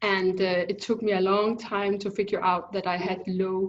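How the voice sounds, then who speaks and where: A woman with a Danish accent speaks at a moderate pace and a medium pitch. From Denmark. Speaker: thyroid specialist, biochemist. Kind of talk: interview. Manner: halting.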